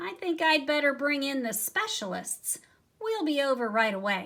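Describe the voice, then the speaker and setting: Mumbling in a put-on character voice, a woman speaks at a high pitch with very wide pitch swings. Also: moderate pace. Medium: read story. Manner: fussy, mumbling.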